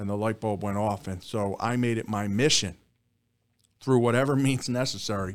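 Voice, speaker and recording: With a Philadelphia accent, a man speaks at a moderate pace and fairly low pitch, his intonation fairly even. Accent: Philadelphia-area American. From Bucks County, Pennsylvania (Philadelphia suburbs). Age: 50s. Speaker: district attorney. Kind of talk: interview.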